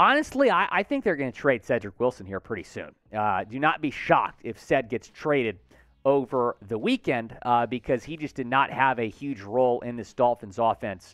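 Against a quiet background with dry sound and no echo, a man talks at a moderate pace with ordinary pitch variation. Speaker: sports show host. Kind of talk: news commentary. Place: studio. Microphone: headset.

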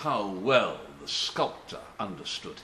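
A man at a very slow pace, with audible room echo and light background noise. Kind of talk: dramatic monologue in character. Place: home room. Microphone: webcam.

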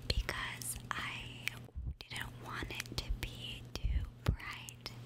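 The woman speaks only in a whisper. She goes very slowly. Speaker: gaming YouTuber trying ASMR. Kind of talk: ASMR whisper and tapping video, casual talk to camera. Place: home room. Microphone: studio mic.

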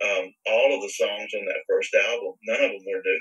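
A man with a Southern US accent speaks in an extremely high pitch and a raised, projected voice. His tone is bright and sharp, and his pace is moderate. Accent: Southern American. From US South, Virginia. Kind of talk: interview testimony.

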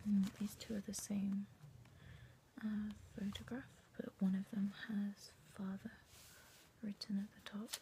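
A woman whispers, soft-spoken, at a fairly slow pace. There is noticeable background noise. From UK. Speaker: collector. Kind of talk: casual talk to camera. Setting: bedroom. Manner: soft-spoken, whispered. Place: home room. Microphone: phone near.

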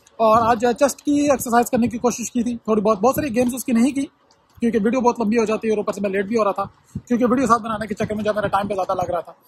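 A man talks at a very fast pace with a high pitch and fairly even intonation. The sound is dry, with no echo. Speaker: vlogger. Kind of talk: casual vlog chat. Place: street. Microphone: phone near.

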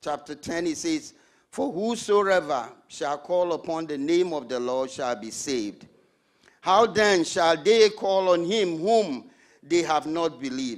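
Against a quiet background, a man with a high pitch speaks very slowly, his pitch varying in an ordinary way. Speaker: preacher. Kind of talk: sermon. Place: church. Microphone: handheld.

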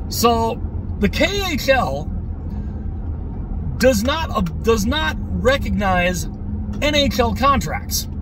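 Very slow male speech in a dry sound with no echo, over noticeable background noise. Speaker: hockey fan vlogger. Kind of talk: casual vlog chat. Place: car. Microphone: phone near.

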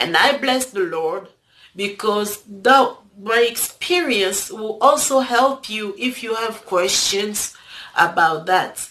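With lively intonation and a non-native accent, a woman speaks at a very slow pace against light background noise. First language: not English. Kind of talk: casual talk to camera. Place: home room. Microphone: phone near.

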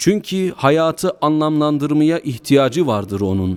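A man's fairly high voice with very wide pitch swings, at a very slow pace, on a very clean recording with a silent background. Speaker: imam / preacher delivering a mosque sermon. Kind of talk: Turkish sermon body addressed to the congregation.

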